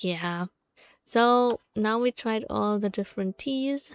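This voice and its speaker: Music plays in the background as a woman speaks with ordinary pitch variation. The sound is dry and close, with no echo. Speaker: vtuber streamer. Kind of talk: casual gameplay livestream. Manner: halting.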